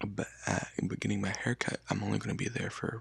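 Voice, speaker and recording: A man speaks in a fairly low pitch with fairly even intonation. The sound is dry and close with no echo, though background noise is noticeable. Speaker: ASMR content creator. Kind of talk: casual talk to camera. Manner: unedited, chatty, conversational.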